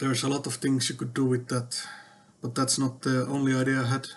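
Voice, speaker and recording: A man talks at a fairly quick pace with monotone, flat intonation. Noticeable background noise sits behind him. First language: not English. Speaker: tech vlogger. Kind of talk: casual monologue. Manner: hesitant, many fillers.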